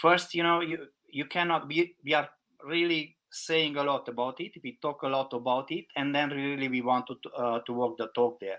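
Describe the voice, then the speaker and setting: A man with a non-native accent, fairly high in pitch, bright and sharp in tone, at a moderate pace with fairly even intonation. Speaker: packaging consultant. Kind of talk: podcast interview.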